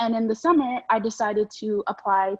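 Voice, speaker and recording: A woman with an American accent speaks at a fairly high pitch, in a dry, close sound with no echo. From Texas, San Antonio. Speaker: student newspaper editor. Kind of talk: interview. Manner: fast; animated.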